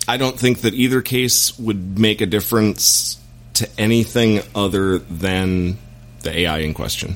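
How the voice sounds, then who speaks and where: Against noticeable background noise, a man speaks at a fairly slow pace in a fairly low pitch. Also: ordinary pitch variation. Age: middle-aged. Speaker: actor and former military man. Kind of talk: casual chat.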